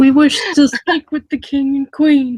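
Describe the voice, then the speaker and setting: This is a put-on character voice with a high pitch. It moves at a fairly slow pace with monotone, flat intonation. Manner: formal, grand.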